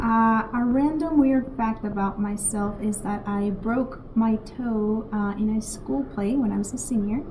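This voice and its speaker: With a Spanish accent, a woman talks at a fairly slow pace in a fairly high pitch and fairly even intonation, with audible room echo. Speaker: teacher. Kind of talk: casual introduction.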